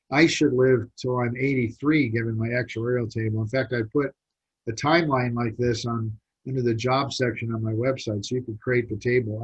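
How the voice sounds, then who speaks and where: At a moderate pace, a man with a medium pitch sounds somewhat breathy. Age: 60s. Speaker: business mentor and college teacher. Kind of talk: webinar presentation. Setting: online video seminar. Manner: conversational, animated.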